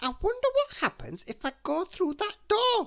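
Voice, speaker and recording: This put-on character voice is squeaky, at an extremely high pitch. It swings very widely in pitch at a moderate pace. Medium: read story. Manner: cheeky, impish.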